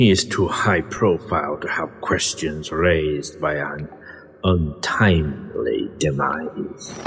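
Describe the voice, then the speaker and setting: Using a put-on character voice, a man speaks at a fairly slow pace in a menacing tone with very deep, low pitch over clear background noise. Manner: menacing, imperious.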